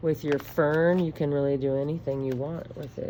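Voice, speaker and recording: A woman speaks at a moderate pace with a very deep, low pitch. Room echo is audible. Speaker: elementary school art teacher. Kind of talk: drawing tutorial for children. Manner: animated.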